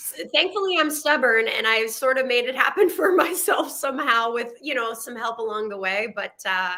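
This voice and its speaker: Moderate pace with hardly any pauses, very wide pitch swings and big swings in loudness, over noticeable background noise. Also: woman, high pitch for a woman. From Quebec, Canada (near Montreal). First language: French. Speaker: actress. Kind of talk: podcast interview.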